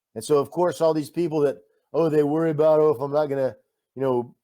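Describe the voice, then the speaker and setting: Dark and mellow in tone, a man speaks with a Texan accent. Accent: Texan American. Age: 60s. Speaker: war volunteer. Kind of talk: interview. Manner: animated.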